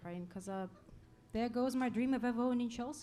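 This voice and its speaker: Noticeable background noise and audible room echo accompany a woman whose pitch is fairly high. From Russia. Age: 30s. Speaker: stand-up comedian. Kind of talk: stand-up. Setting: stage with audience.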